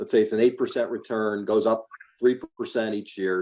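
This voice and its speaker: A man speaks at a medium pitch with an ordinary speaking voice. He keeps a moderate pace. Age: 60s. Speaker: real estate investor. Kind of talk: podcast interview.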